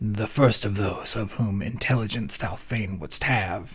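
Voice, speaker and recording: Using a put-on character voice, a man speaks at a fairly low pitch and fairly slow pace with fairly even intonation over light background noise. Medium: read story. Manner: grave, measured, authoritative.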